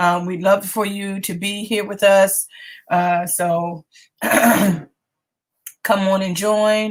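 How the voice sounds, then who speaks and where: A woman at a medium pitch speaks at a very slow pace with long, frequent pauses. Her intonation is monotone and flat. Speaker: online talk show host. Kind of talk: casual livestream chat. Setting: live video stream. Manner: halting, many fillers.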